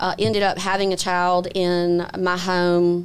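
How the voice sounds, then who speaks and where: A woman speaks with a Mississippi accent at a fairly low pitch. The recording is very clean, with a silent background. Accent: Southern US (Mississippi). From Mississippi Gulf Coast, Biloxi. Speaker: attorney and judicial candidate. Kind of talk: interview conversation.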